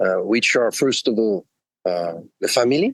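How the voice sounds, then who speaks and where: A man with a Swiss French accent, medium-pitched and fairly slow, in a dry, close sound with no echo. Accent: French-Swiss accent, noticeable. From French-speaking Switzerland. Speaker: executive coach. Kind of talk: podcast interview. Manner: hesitant, many fillers.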